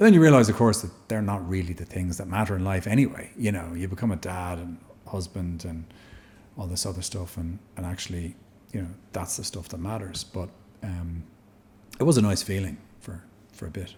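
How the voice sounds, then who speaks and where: A man with a Dublin accent speaks at a fairly quick pace in a very deep, low pitch, his tone dark and mellow and somewhat breathy. His loudness swings widely, his pitch varies in an ordinary way, and he leaves long, frequent pauses. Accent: Irish (Dublin). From Dublin, Ireland. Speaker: actor. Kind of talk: podcast interview answer.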